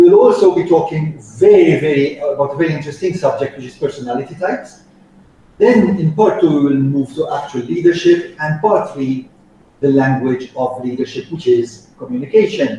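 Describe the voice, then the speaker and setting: Speaking in an ordinary speaking voice, a man keeps a moderate pace with big swings in loudness. His pitch is fairly high, with ordinary variation. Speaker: soft skills trainer. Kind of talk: training lecture.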